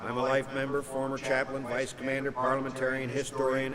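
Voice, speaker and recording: Over noticeable background noise, a man with an American accent talks at a fairly quick pace and medium pitch. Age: 60s. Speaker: war veteran. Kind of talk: keynote speech.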